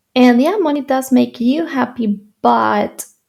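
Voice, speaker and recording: A woman with a Spanish accent talks at a fairly high pitch with ordinary pitch variation. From Spain, Madrid. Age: 20s. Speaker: YouTuber and entrepreneur. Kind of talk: personal story vlog. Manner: halting.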